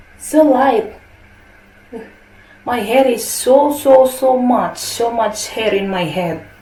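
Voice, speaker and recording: In a room with audible echo and noticeable background noise, a high-pitched woman speaks at a very slow pace with ordinary pitch variation and long, frequent pauses. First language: Indonesian. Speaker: beauty product vlogger. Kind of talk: product review. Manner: casual, halting non-native English.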